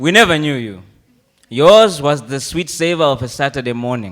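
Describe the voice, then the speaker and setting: A man at a moderate pace with lively intonation. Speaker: spoken word poet. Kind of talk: live comic poetry performance. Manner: mock-solemn, playful.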